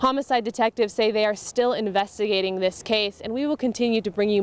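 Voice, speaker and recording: A woman's normal speaking voice, medium in pitch, with fairly even intonation and a fairly quick pace. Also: dry, close sound with no echo. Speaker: TV news reporter. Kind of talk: TV news reporter stand-up and voiceover.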